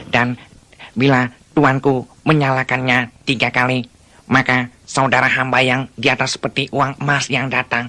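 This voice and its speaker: At a moderate pace, a put-on character voice speaks at a low-to-middle pitch with monotone, flat intonation. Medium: audio drama. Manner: servile, formal.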